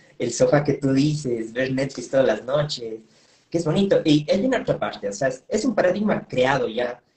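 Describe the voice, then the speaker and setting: A somewhat breathy man with a fairly high pitch talks at a moderate pace with lively intonation. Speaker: interviewer. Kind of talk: interview. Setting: Instagram live video call. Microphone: video call.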